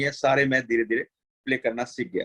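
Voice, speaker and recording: Here a man speaks at a medium pitch with a Rajasthani accent. The sound is dry and close, with no echo. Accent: Rajasthani Hindi. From Jaisalmer, Rajasthan, India. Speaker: folk musician. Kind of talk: interview.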